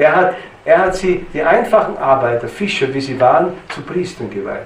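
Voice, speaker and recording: A man talks with lively intonation. Noticeable background noise runs behind him. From Styria, Austria. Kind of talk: lecture. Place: church.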